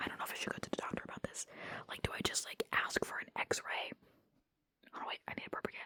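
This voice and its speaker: Someone whispers at a very fast pace. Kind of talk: casual vlog talk to camera. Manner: whispered; casual, rambling.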